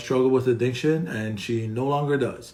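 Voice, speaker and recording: A man of medium pitch talks at a fairly quick pace. Audible room echo and noticeable background noise come through. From Hawaii. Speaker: recovery podcast host. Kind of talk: casual live interview chat. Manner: animated, excited; halting with many fillers.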